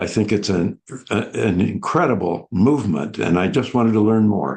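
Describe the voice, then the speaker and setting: A man with a fairly low pitch talks at a moderate pace. His loudness stays very even, and there is vocal fry. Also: lively intonation. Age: 80s+. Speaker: book club participant. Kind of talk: casual discussion.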